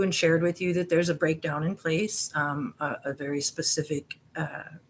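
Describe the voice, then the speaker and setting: Fairly low-pitched woman's voice at a moderate pace, with fairly even intonation. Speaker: YouTube conspiracy investigator. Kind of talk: casual video monologue. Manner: hesitant, many fillers.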